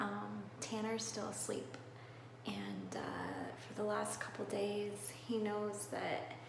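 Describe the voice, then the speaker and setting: A woman whispers at a very slow pace with long, frequent pauses, with audible room echo and noticeable background noise. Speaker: vlogger. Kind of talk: personal vlog. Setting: bathroom. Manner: whispering.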